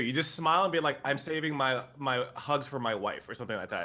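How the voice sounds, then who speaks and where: A man talks at a very fast pace. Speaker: streamer. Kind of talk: casual chat. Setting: live stream. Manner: loud; talkative.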